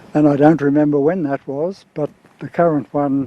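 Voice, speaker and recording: A man with an Australian accent speaks at a fairly high pitch and a moderate pace. His intonation is fairly even, and there is noticeable background noise. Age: 80s+. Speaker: rally car owner. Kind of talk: interview. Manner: halting.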